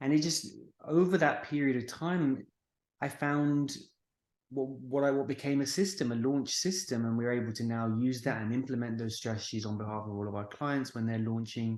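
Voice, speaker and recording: With a British accent, a man speaks at a medium pitch. His pace is moderate and his pitch variation ordinary. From United Kingdom. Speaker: marketing agency founder. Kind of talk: podcast interview.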